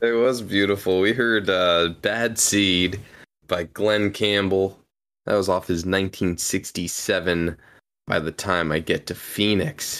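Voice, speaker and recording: In a very clean recording over a silent background, a man with a fairly low pitch speaks at a fairly slow pace in an upbeat, enthusiastic tone. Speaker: co-host. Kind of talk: live radio DJ patter, track rundowns. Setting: live stream. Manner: easygoing, upbeat, enthusiastic.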